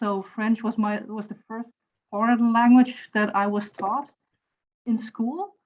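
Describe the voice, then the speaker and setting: A woman speaks in a German accent, somewhat breathy. Her intonation is monotone and flat. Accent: German (Saarland) accent in English. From Germany, Saarland. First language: German (Saarlandish dialect). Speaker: university lecturer and translator. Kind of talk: online class discussion.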